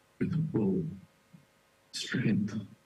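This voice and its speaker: This voice is soft-spoken and somewhat breathy. It moves at a very slow pace. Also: man. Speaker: devotee giving memorial talk. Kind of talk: memorial tribute talk.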